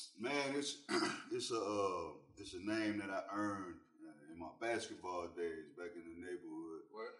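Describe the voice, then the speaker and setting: This man's loudness swings a great deal. He has a fairly low pitch and a Southern US accent. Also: ordinary pitch variation, fairly slow pace. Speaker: rapper. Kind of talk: casual chat. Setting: studio.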